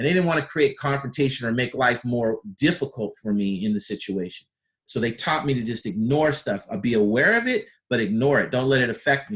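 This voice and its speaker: In an ordinary speaking voice, this man keeps a medium pitch that varies in an ordinary way and moves at a fairly quick pace. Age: 50s. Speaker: personal development coach. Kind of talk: personal development talk. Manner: conversational.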